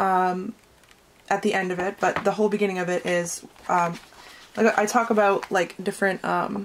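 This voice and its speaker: Speaking at a moderate pace, a woman uses a medium pitch and monotone, flat intonation with long, frequent pauses. Noticeable background noise is present. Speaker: tarot reader. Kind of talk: tarot reading; product promotion. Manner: casual, halting with fillers.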